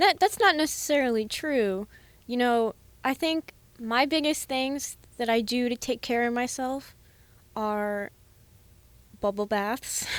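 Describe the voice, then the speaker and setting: A woman's high-pitched speech with ordinary pitch variation, a fairly slow pace and long, frequent pauses, on a very clean recording with a silent background. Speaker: student podcast co-host. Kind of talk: casual chat.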